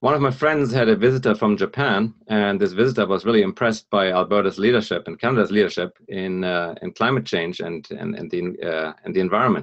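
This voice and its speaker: Very fast, lively speech with a German accent over a quiet background. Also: man. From northern Germany, near Hamburg. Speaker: environmental consultant and speaker. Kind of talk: presentation. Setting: live broadcast talk. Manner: lively, humorous; hesitant, many fillers.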